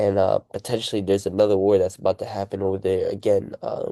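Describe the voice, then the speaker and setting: Fairly low-pitched man with a dark, mellow tone and monotone, flat intonation, a dry, close sound with no echo, and a quiet background. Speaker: YouTuber. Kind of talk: casual commentary monologue. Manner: casual, filler-heavy.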